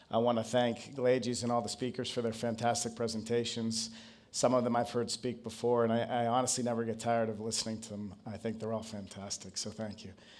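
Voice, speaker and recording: Amid audible room echo, a man speaks fairly quickly in a monotone, flat intonation. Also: medium pitch for a man. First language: not Portuguese. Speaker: marketing consultant. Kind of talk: conference presentation.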